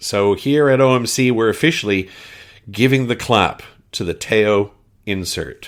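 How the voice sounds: A man speaks with a Canadian accent. The recording is very clean, with a silent background.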